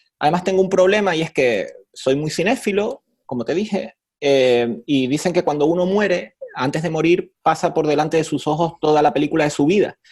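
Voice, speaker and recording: A man with a Canarian accent speaks at a fairly quick pace in a fairly high pitch. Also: ordinary pitch variation. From Canary Islands, Spain. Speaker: professor. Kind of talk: interview. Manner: conversational, hesitant fillers.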